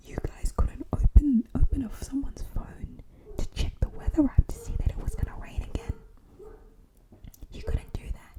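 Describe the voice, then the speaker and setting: A woman's whisper, delivered at a moderate pace, comes through noticeable background noise. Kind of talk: casual talk to camera. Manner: soft-spoken, whispered.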